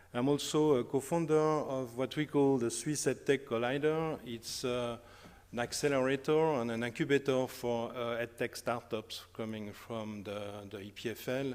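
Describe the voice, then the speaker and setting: A man's medium-pitched voice in a strong French accent, with ordinary pitch variation and a moderate pace. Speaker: academic researcher. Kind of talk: conference talk. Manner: hesitant, many fillers.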